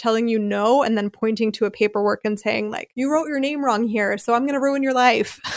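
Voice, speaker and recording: A woman with a Philadelphia accent, fairly high in pitch, with fairly even intonation and a fairly quick pace. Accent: American, Philadelphia. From US Northeast, Philadelphia. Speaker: podcast host, American expat. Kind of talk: casual interview chat. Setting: remote call.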